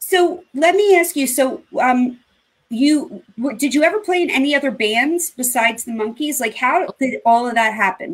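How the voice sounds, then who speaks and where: The woman's pitch is high and her intonation lively. She keeps a moderate pace. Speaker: online show host. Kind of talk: casual chat. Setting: video call. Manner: animated. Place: home room.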